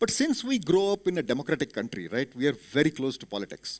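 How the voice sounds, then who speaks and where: Very wide pitch swings from a man with an Indian accent, at a fairly quick pace, with a dry, close sound with no echo. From India, Belgaum (Karnataka). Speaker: corporate executive, motivational speaker. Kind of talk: motivational talk. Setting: auditorium with audience.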